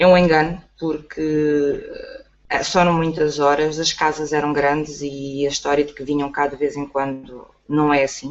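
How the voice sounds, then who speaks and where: A woman speaks with a very deep, low pitch. Her delivery is fairly slow and flat, in a monotone. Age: 40s. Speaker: online entrepreneur. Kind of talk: testimony.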